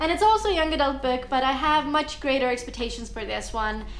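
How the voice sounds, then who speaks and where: A woman's voice swings very widely in pitch, with audible room echo and noticeable background noise. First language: Estonian. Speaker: booktuber. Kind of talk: vlog book review.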